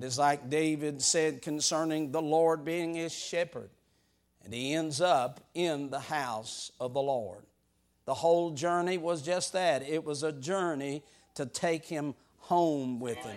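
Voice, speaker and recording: An unremarkable speaking voice from a man, fairly high in pitch and fairly slow, on a very clean recording with a silent background. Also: ordinary pitch variation. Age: 60s. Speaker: preacher. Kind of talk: sermon.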